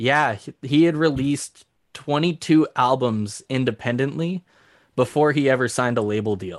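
Over a quiet background, a man with a Canadian prairie accent talks at a moderate pace, his pitch medium with ordinary variation. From southern Saskatchewan, Canada. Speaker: country musician. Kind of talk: casual chat.

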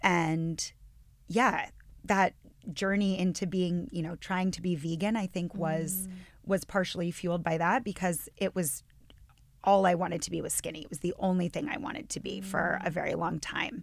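In a normal speaking voice with an American accent, the speaker moves at a moderate pace with ordinary pitch variation. The recording is very clean, with a silent background. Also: woman, medium pitch for a woman. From northwestern Pennsylvania. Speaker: yoga and meditation teacher. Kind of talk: casual chat.

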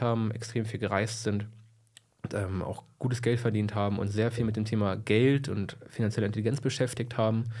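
Speaking at a fairly quick pace, a man has a plain, everyday voice at a medium pitch. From Lower Saxony, Germany (Braunschweig area). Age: 20s. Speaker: entrepreneur, financial services. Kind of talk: interview, casual chat.

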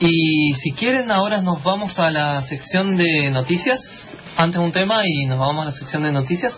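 Over noticeable background noise and audible room echo, a man speaks at a moderate pace in a high voice with lively intonation. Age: 20s. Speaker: radio host. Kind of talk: casual chat.

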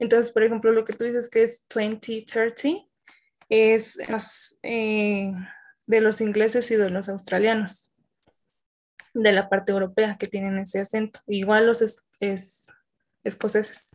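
Against a quiet background, a woman speaks at a very slow pace. Her fairly high voice stays in a monotone, flat intonation. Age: 20s. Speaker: student teacher. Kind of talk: casual chat.

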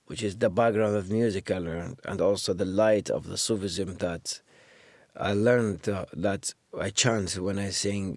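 A man speaks with an Iraqi accent. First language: Arabic. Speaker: musician and actor. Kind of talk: interview conversation.

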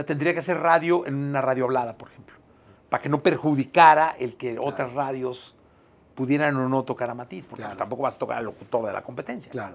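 Speaking very fast with a Mexican accent, a man shows ordinary pitch variation and big swings in loudness. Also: medium pitch for a man. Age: 50s. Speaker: podcast host. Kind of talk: casual chat.

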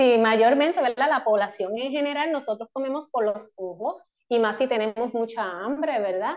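A woman's fairly high voice at a moderate pace, with ordinary pitch variation and hardly any pauses. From Puerto Rico, Ponce area. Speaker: clinical dietitian. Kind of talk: radio interview. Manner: halting, many fillers.

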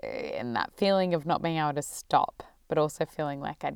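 Very deep and low in pitch, a woman with an Australian accent speaks with ordinary pitch variation on a very clean recording with a silent background. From Melbourne, Australia. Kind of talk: personal storytelling. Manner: reflective.

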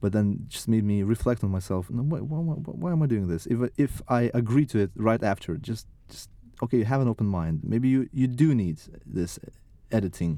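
Speaking with a Lithuanian accent is a man. His tone is dark and mellow. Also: medium pitch for a man, moderate pace. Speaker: artist. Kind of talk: casual interview. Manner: halting.

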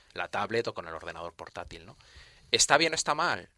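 With a bright, sharp tone, a man speaks at a moderate speed. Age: 50s. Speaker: university professor. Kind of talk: radio interview. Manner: halting.

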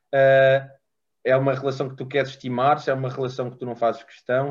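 A man talks at a very fast pace in a medium-pitched voice. The background is quiet. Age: 20s. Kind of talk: interview. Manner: halting.

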